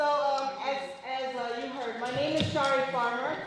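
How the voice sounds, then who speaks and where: A woman's high-pitched voice at a moderate pace with fairly even intonation, plus audible room echo and noticeable background noise. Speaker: victim services deputy. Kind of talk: presentation. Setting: event with audience, no mic. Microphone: no microphone, speaking unamplified.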